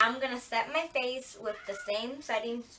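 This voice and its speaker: A woman talks at a fairly high pitch with ordinary pitch variation. Noticeable background noise runs behind her. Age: 18. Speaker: beauty vlogger. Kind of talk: makeup tutorial. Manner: casual, chatty.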